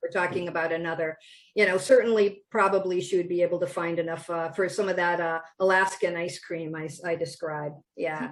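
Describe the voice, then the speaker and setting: At a fairly quick pace, a woman talks in a fairly low pitch with a strong Wisconsin accent and flat, monotone intonation. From Wisconsin, US Midwest. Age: 60s. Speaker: children's book author. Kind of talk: interview. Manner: many fillers and restarts.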